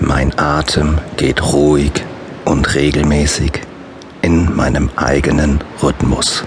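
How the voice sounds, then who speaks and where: A man with a very deep, low pitch speaks in a calm, soothing tone at a very slow pace, leaving long, frequent pauses. His intonation is monotone and flat, his loudness is very even, and there is noticeable background noise. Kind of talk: guided meditation with affirmations. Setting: studio audiobook recording. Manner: slow, calm, soothing; repetitive, measured, with long pauses.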